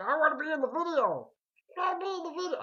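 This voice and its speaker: A put-on character voice rattles along at a very fast pace with an extremely high pitch. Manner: whiny, demanding.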